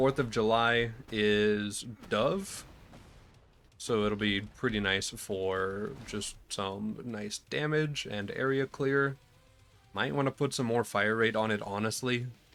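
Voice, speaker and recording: Music plays in the background as a man speaks at a very slow pace. His tone is relaxed. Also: medium pitch for a man, ordinary pitch variation. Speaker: gaming YouTuber. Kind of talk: gameplay commentary. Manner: casual, relaxed.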